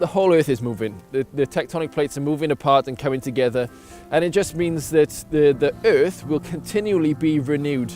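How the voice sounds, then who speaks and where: Music behind fairly brisk talk, pitch rising and falling in an ordinary way. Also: man. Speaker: science presenter. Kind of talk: casual on-location explanation.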